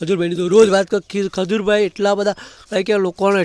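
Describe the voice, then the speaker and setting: A man's voice, dry and close with no echo. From Gujarat, Kheda district (Nadiad). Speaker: vlogger. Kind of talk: casual vlog monologue.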